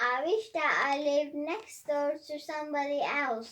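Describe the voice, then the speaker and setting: Here a woman performs a put-on character voice, pitched high. She keeps a moderate pace. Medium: read story. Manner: giggly, playful.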